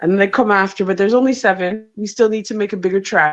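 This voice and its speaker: With a Jamaican accent, a woman speaks in a fairly high pitch and fairly even intonation. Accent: Jamaican twang. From Canada. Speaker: comedian. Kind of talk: casual chat. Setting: video call from a hotel.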